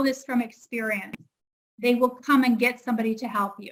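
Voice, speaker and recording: A woman with a Canadian accent speaks in a high pitch. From Canada. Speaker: English teacher. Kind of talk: online lesson conversation.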